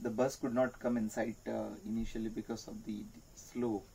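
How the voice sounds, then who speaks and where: Against light background noise, a man with a dark, mellow tone speaks at a moderate pace. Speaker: travel diary narrator. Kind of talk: casual vlog chat.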